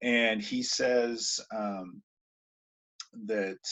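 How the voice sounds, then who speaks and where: A man's voice, fairly low in pitch. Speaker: high school English teacher. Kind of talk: recorded lesson. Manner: hesitant, many ums. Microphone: poor video quality.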